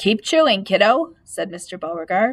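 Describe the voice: Text read aloud plainly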